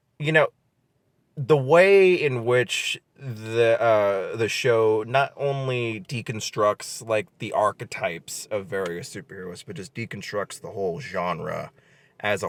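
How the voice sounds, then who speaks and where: On a very clean recording with a silent background, a man speaks at a medium pitch. His intonation is lively, and the sound is dry and close with no echo. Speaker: podcast host. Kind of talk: casual chat. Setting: outdoors. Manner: halting, many fillers; fumbles pronunciation.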